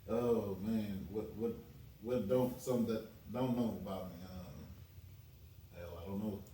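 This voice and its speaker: A man speaks at a fairly slow pace and a fairly low pitch, with long, frequent pauses and ordinary pitch variation. Noticeable background noise and audible room echo are present. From US South. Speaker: chef. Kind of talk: podcast interview.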